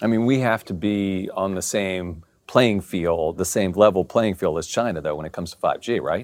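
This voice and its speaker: A man with an American accent speaks at a fairly low pitch in an ordinary speaking voice. He keeps a moderate pace with hardly any pauses and ordinary pitch variation. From Maryland. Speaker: business journalist, interview host. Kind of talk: interview.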